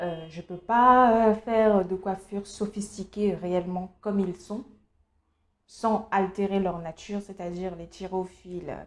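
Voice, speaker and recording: A woman with a Cameroonian accent, very slow in pace, with fairly even intonation. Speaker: beauty youtuber. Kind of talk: casual vlog monologue. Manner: hesitant, many fillers.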